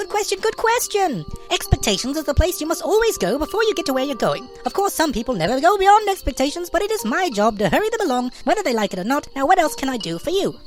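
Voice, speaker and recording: Someone rattles along at a very fast pace in a put-on character voice, with clear music playing in the background. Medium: read story. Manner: fast, repeats every phrase several times.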